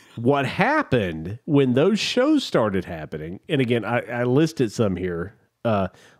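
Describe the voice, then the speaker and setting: His pitch moves in very wide swings. The man speaks at a fairly slow pace. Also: very clean recording, silent background. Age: 60s. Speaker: podcast co-host. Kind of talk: casual chat. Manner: animated.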